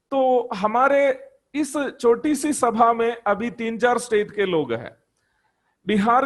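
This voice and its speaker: A man speaks with a Malayalam accent. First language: Malayalam (speaking Hindi). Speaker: preacher. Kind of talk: sermon. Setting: church congregation.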